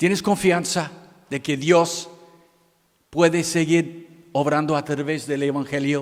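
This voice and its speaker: A very slow man with an American accent, fairly high in pitch, lively in intonation. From United States. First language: English (speaking Spanish). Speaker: missionary pastor. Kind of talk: sermon. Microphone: microphone problems.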